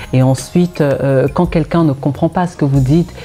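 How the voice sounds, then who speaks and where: Over music in the background, a woman with a Cameroonian accent speaks in a very deep, low voice with fairly even intonation. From Cameroon (Douala and the west). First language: Bakaka (speaking French). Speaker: singer-songwriter. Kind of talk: interview.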